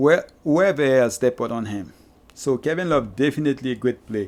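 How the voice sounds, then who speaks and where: With a Haitian accent, a man speaks at a moderate pace. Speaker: fantasy basketball streamer. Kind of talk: live stream chat with Q&A. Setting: live stream. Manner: halting. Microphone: new microphone.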